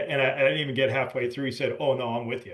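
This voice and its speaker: The man speaks at a fairly high pitch. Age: 60s. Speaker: podcast host. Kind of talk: casual chat. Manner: talkative, rambling delivery with many restarts.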